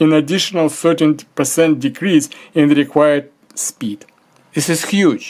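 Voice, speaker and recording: At a moderate pace, a man with a fairly high pitch uses a normal speaking voice. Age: 60s. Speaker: amateur ski tutorial maker. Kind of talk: tutorial.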